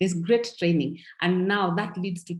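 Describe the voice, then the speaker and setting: This woman's voice is somewhat breathy. It sits at a medium pitch. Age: 60s. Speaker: network marketing distributor. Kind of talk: testimony. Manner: animated.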